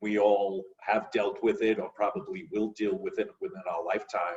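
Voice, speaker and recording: A man speaks, keeping his pace moderate. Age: 60s. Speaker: actor. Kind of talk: casual chat.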